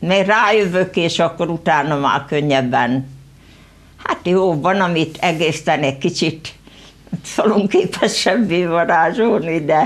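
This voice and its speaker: A woman speaks at a very slow pace with fairly low pitch. Her loudness stays very even, and her pitch variation is ordinary. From Hungary, rural Veszprém county village; Hungary. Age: 70s. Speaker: local author; guest. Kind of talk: studio interview. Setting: TV studio. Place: studio.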